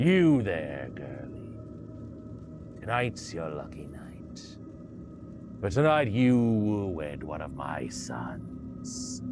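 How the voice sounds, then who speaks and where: A man's put-on character voice, very deep and low, at a very slow pace with long, frequent pauses over clear background noise. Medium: read story. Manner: commanding, brusque.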